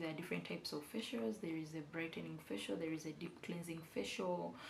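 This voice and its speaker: A woman's voice with audible room echo. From Uganda. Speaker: beauty vlogger. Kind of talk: casual vlog tutorial. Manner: halting, with fillers and repetitions.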